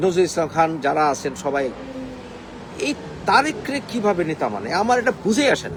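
Amid noticeable background noise, a man with a high pitch speaks in an animated tone with very wide pitch swings. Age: young. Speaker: political commentator. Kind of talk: political rant.

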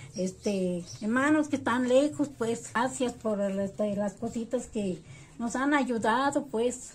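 A woman speaks very slowly over light background noise. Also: ordinary pitch variation. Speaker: interviewee. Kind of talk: interview answer. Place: home room. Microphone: phone near.

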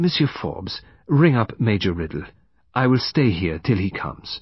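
A man's put-on character voice, fairly low in pitch with a slightly husky edge, big pitch swings and a fairly slow pace.

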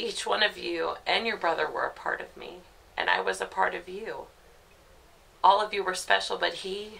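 A woman speaks at a moderate pace with big swings in loudness. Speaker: actor playing a grieving mother. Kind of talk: dramatic monologue. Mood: grief-stricken, raw, pained. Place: home room.

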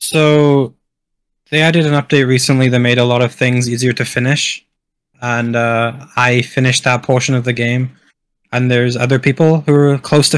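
A man with a Welsh accent speaks at a moderate pace and a medium pitch. His intonation is monotone and flat, with very even loudness. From Wales. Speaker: top-ranked gamer. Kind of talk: casual chat.

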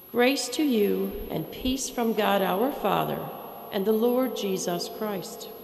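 A woman at a very slow pace with fairly even intonation, audible room echo and light background noise. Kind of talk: scripture reading. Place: church. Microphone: podium.

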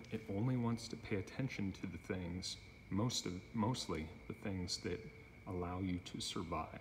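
Over light background noise, a man speaks in a somewhat breathy voice with ordinary pitch variation. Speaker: self-filming demonstrator. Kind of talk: explanatory monologue. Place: garage. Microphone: phone near.

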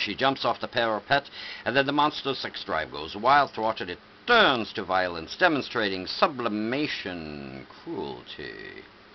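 Speaking fairly slowly, a man with a fairly low pitch and vocal fry shows big swings in loudness over light background noise. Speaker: reader. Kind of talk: reading a poem or story aloud. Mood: dramatic, lurid storytelling. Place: home room. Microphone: webcam.

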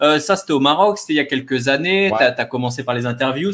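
Ordinary pitch variation accompanies delivery at a fairly quick pace. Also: man. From Normandy, France (born in Caen); France. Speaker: developer and freelance coach, channel host; freelance coach, channel host. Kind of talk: live-streamed interview. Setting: online live stream. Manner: hesitant, frequent repetitions. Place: home room.

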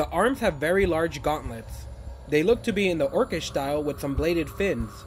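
A man delivers his words at a fairly quick pace while music plays in the background. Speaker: toy reviewer. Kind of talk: product review narration.

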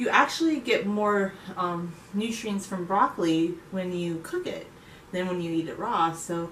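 Over light background noise and audible room echo, a woman speaks at a fairly slow pace with ordinary pitch variation. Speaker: home cook vlogger. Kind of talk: casual vlog chat. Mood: cheerful, relaxed. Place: kitchen. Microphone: camera far.

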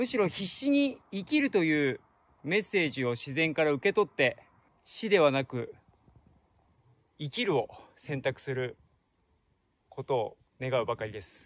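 Very wide pitch swings, long and frequent pauses, a fairly slow pace, and a dry sound with no echo. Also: man. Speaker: travel vlogger. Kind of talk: casual vlog chat. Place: forest. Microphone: phone near.

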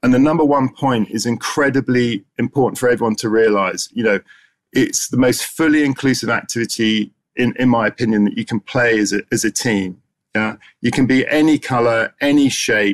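The speech moves at a moderate pace with fairly even intonation over a quiet background. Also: man. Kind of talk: conference presentation. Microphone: webcam.

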